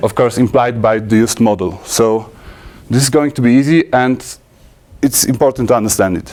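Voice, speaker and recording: Talking at a fairly quick pace but with long, frequent pauses, a man at a medium pitch shows ordinary pitch variation. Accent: Polish. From Poland. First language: Polish. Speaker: software conference speaker. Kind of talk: technical talk. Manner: halting, many fillers and restarts.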